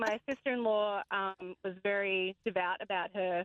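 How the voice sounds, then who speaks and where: A woman with an Australian accent and fairly even intonation. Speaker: caller. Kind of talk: casual chat.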